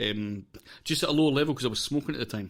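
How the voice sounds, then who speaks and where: A man talks in a Scottish accent. His pace is fairly quick, with ordinary pitch variation. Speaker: podcast host. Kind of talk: casual interview.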